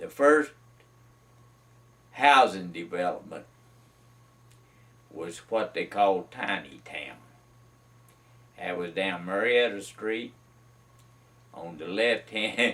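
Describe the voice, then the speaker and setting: In a Carolina Piedmont accent, a man with a fairly low pitch speaks at a very slow pace with long, frequent pauses. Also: big swings in loudness. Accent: Southern US (Carolina Piedmont). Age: 70s. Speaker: retired mill worker sharing memories. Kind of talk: oral history interview. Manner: halting, many fillers.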